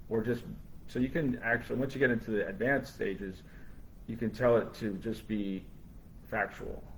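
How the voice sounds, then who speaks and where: Somewhat breathy and medium in pitch, a man talks with long, frequent pauses. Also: ordinary pitch variation, moderate pace. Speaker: brain injury survivor and AI advocate. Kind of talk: live panel discussion. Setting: live stream. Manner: halting, with frequent repetitions.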